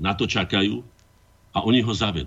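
A man speaks in an unremarkable speaking voice. His pace is moderate and his pitch varies in an ordinary way. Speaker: artist and former MP. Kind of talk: radio talk show.

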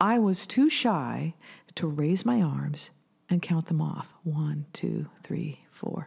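Very slowly and with lively intonation, a woman with an American accent speaks in a somewhat breathy, very deep, low voice, captured in a very clean recording with a silent background. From US Pacific Northwest, Washington state. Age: 50s. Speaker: musician and music teacher. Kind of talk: casual interview chat.

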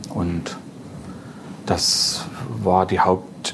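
A man's fairly low-pitched voice. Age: 40s. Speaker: record dealer and collector. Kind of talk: casual chat. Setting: club venue.

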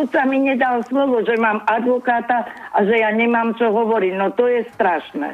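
A woman talks fairly slowly, and noticeable background noise can be heard. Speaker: caller. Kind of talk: casual chat. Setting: phone call.

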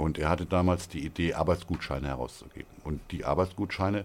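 Speaking at a fairly quick pace, a man uses a very deep, low pitch with vocal fry and ordinary pitch variation. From northern Hesse, Germany (near Kassel). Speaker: regional currency founder. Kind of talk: interview. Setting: studio. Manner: hesitant, many fillers.

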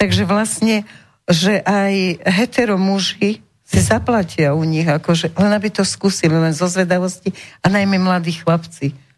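Her voice is somewhat breathy, and this woman speaks at a fairly slow pace with ordinary pitch variation and very even loudness. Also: medium pitch for a woman. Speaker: radio talk show host. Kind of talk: radio talk show. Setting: radio studio. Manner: seductive, cooing.

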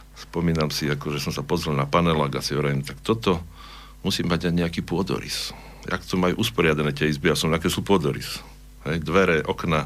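A man's very deep, low voice with vocal fry, ordinary pitch variation, and a fairly quick pace. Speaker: architect and choir singer. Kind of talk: radio interview. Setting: studio.

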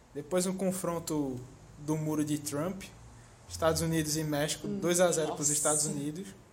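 A man's fairly high voice with fairly even intonation, long and frequent pauses, noticeable background noise and audible room echo. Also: moderate pace. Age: 20s. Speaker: podcast co-host. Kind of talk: casual chat.

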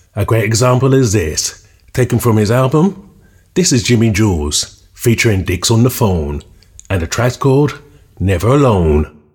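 Somewhat breathy, a man at medium pitch moves through very wide pitch swings. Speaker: radio DJ. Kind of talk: radio DJ patter, scripted-sounding track intros and back-announcements. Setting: radio show. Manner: upbeat, brisk, polished broadcaster delivery; enthusiastic, moving quickly from one track to the next.

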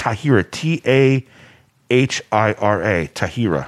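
With an American accent, this voice is heard up close. No echo colors the dry sound. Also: man. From US. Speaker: DJ. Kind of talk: casual chat.

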